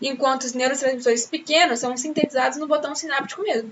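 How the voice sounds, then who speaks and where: A high-pitched woman's voice amid noticeable background noise. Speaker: teacher. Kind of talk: lecture. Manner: fast; animated.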